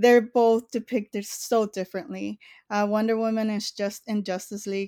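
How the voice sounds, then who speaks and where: Over a silent background in a very clean recording, a woman with an American accent talks at a moderate pace in a medium pitch with fairly even intonation and a dry, close sound with no echo. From US, East Los Angeles. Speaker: film critic and podcast co-host. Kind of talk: casual chat. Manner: halting.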